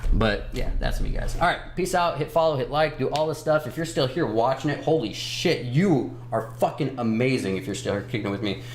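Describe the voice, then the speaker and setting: A man at medium pitch talks at a fairly quick pace with hardly any pauses and ordinary pitch variation. Audible room echo and noticeable background noise surround him. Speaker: stock livestream host. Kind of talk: casual livestream chat about stock charts. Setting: live stream. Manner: fast; stumbling when speeding up.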